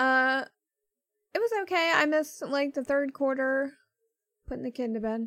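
Mumbling at a fairly slow pace, a woman speaks at a high pitch. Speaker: sports podcast co-host. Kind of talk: casual chat.

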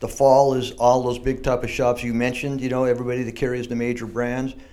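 A medium-pitched man in an American accent at a fairly quick pace, with audible room echo. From San Diego, California. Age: 60s. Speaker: surf shop owner. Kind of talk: casual interview. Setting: shaping room with echo.

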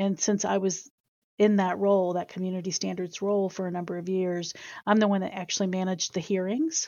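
A woman's medium-pitched voice, fairly quick, with fairly even intonation. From US South, Chesapeake, Virginia. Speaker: university Title IX coordinator. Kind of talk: interview. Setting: studio.

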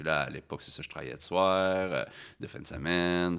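This man's voice sits very deep and low, with vocal fry, at a moderate pace on a very clean recording with a silent background. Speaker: farmer and human resources manager. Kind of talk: interview.

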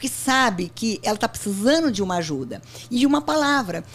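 A woman speaks in a normal speaking voice, fairly high pitched, at a moderate pace. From Brazil, interior of São Paulo state (Barretos). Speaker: company founder and CEO. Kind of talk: interview.

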